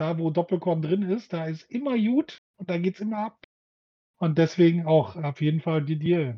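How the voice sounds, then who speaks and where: The man speaks at a high pitch with ordinary pitch variation. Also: moderate pace. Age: middle-aged. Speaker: podcast co-host. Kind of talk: casual chat.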